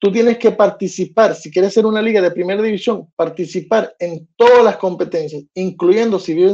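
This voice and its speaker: A man speaks in a high pitch with a dark, mellow tone and ordinary pitch variation. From United States. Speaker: sports podcast host. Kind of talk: casual monologue. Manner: halting, many fillers and repetitions; animated.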